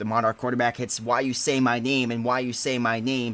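In an unremarkable speaking voice, a man talks at a medium pitch and a fairly quick pace. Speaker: sports commentator. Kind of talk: live play-by-play commentary of a video game football match. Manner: fast, rhythmic play-by-play delivery that builds in excitement on touchdowns; casual and chatty, with laughs and sign-off.

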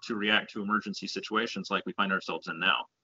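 Quiet background, a man's voice, an American accent. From Houston, Texas. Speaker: congressional candidate; candidate. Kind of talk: interview. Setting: video call. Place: home room. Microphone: video call.

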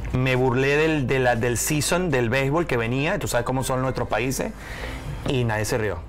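A man speaks at a fairly slow pace. Faint music plays in the background. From Venezuela. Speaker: stand-up comedian. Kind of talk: interview answer. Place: studio. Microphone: lapel.

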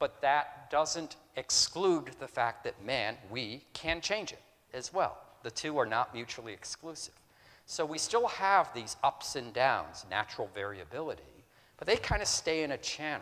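A man with an American accent speaks at a fairly slow pace in a fairly high pitch, with very wide pitch swings and big swings in loudness. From upstate New York. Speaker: retired naval officer and professor; professor. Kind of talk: public lecture. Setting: auditorium with audience. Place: hall.

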